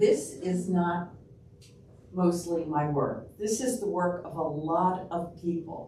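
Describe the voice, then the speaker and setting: A woman with a New York accent, a fairly low pitch and ordinary pitch variation, in audible room echo. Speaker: public health researcher and local history lecturer. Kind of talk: public lecture. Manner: casual, with frequent fillers.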